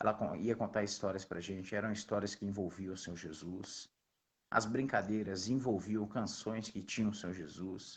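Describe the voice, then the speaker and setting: Against a quiet background, a man speaks at a moderate pace with fairly low pitch and fairly even intonation. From Belo Horizonte, Minas Gerais, Brazil. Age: young. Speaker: missionary. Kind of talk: interview testimony.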